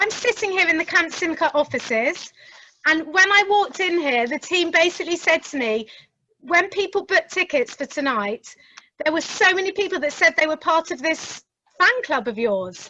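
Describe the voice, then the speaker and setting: A woman with a London accent speaks in a raised, projected voice of extremely high pitch and a bright, sharp tone, at a moderate pace, with a dry, close sound and no echo. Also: lively intonation. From south London. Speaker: interviewer. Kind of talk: interview conversation. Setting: office, remote event.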